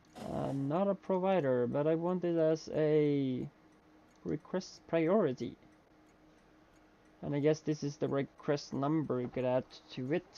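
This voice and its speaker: A man with a non-native accent speaks at a fairly high pitch in a dark, mellow tone. He leaves long, frequent pauses. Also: ordinary pitch variation, fairly slow pace. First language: not English. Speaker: video game streamer. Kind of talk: live gameplay commentary. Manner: halting, many fillers.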